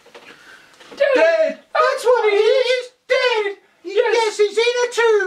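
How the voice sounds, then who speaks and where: This is a put-on character voice at an extremely high pitch. The delivery comes at a very slow pace. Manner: distraught, wailing.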